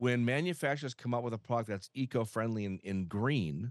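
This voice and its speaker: A man speaks in an ordinary speaking voice with an American accent, medium pitch and lively intonation. The sound is dry and close with no echo, over a quiet background. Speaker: home health expert. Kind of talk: interview conversation.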